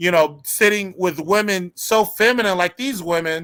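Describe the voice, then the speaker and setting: In a very clean recording with a silent background, a man with a high pitch and a bright, sharp tone speaks at a moderate pace with ordinary pitch variation. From United States. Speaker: youtube channel host. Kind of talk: casual chat on a livestream. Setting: live stream.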